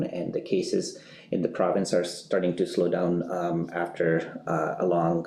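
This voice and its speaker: A man at a fairly slow pace. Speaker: public health doctor. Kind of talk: press briefing. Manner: halting, many fillers.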